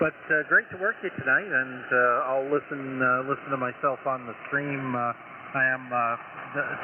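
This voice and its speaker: Fairly even intonation marks this man's speech, heard with noticeable background noise. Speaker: amateur radio operator. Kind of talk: ham radio contact. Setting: radio transmission.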